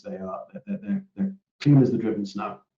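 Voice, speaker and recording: A man speaks quietly at a fairly quick pace. His pitch varies in an ordinary way. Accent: British. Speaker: operations director hosting a company webinar. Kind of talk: webinar Q&A. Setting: online webinar. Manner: hesitant, many repetitions and fillers; quiet, hard to hear.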